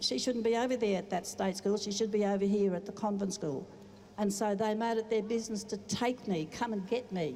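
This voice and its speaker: A woman talks at a fairly quick pace, her pitch medium with ordinary variation. Noticeable background noise runs underneath. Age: 70s. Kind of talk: personal testimony speech. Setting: outdoor rally with audience.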